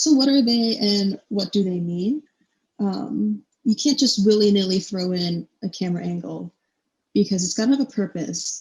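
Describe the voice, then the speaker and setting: A woman's somewhat breathy voice at medium pitch, with lively intonation. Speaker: university student presenter. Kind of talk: lecture. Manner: casual, filler-heavy.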